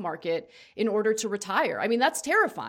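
On a very clean recording with a silent background, a woman uses a normal speaking voice, fairly high in pitch with ordinary pitch variation. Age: 30s. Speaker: political talk show host. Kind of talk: casual chat with political commentary. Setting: studio livestream.

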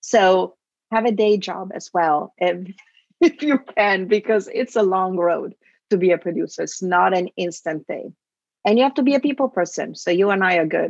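With an Italian accent, a woman at medium pitch uses lively intonation in a dry, close sound with no echo. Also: moderate pace. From Italy. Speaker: film producer. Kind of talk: interview.

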